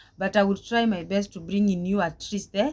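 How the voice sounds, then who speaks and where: This woman's voice is somewhat breathy, at a medium pitch. She talks at a moderate pace with ordinary pitch variation. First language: Swahili. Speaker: vlogger, domestic worker. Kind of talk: personal life story vlog. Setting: talking to camera. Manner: halting, with many repetitions.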